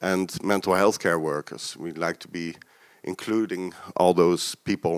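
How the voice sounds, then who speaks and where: The sound is dry and close, with no echo, on a very clean recording over a silent background. Speech comes at a moderate pace with a Dutch accent. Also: man. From Netherlands. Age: 40s. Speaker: peer support worker, keynote speaker. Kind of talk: lecture. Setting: stage with audience. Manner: hesitant, many fillers.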